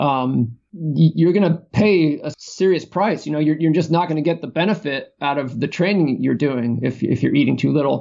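A man speaks at a moderate pace with a fairly high pitch. His pitch variation is ordinary, and there are hardly any pauses. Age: 40s. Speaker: endurance coach and author. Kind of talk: interview. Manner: hesitant, many fillers.

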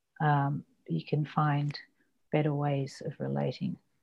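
Someone with an Australian accent speaks at a fairly slow pace against a quiet background. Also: woman. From Australia (Ballarat, Western Victoria), born abroad. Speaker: novelist and poet. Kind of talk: interview. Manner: halting.

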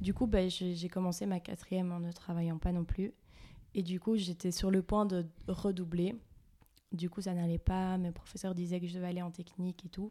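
In a dark, mellow tone, a woman speaks at medium pitch and a moderate pace, her intonation flat and monotone. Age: 20s. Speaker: psychology student. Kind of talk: interview.

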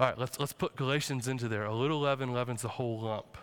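A man is speaking here. His pitch sits fairly high. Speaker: teaching pastor. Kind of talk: sermon. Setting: church. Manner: casual, joking, conversational; earnest, urgent, warning.

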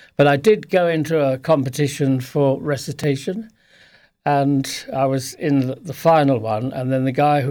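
In a very clean recording with a silent background, a man with a fairly high pitch and a dark, mellow tone speaks at a moderate pace with ordinary pitch variation. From Sussex, southern England. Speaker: author. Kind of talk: interview. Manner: halting.

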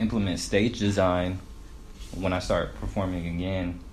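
A man with an American accent speaks at a very deep, low pitch. His intonation is fairly even, and audible room echo surrounds him. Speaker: rapper. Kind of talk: casual chat.

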